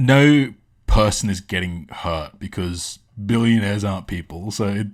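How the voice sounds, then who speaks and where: A man with an Australian accent speaks at a fairly slow pace and a fairly low pitch, with ordinary pitch variation. The recording is very clean, with a silent background. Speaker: streamer, commentator. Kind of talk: live stream reaction commentary. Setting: live stream. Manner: halting, many filler words; animated.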